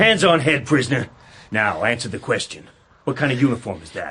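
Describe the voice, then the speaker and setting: A man's gruff put-on character voice of medium pitch, fairly quick, with very wide pitch swings. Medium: audio drama. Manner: gruff, bullying, ungrammatical.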